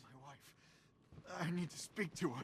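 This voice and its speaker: A man puts on a raspy character voice at a fairly high pitch. He keeps a moderate pace. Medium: video game.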